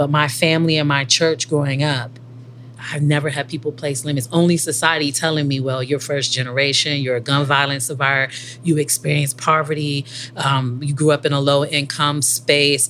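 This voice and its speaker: Someone with an American accent talks at a fairly quick pace. Noticeable background noise sits behind the voice. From inner-city Washington, D.C. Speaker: conference attendee, college graduate. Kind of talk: personal testimony. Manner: passionate.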